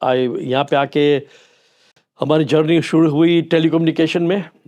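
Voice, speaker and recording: His intonation remains fairly even. The man's voice sits at a fairly high pitch. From Kenya (Kisumu), Gujarati family. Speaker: retired businessman. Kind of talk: interview.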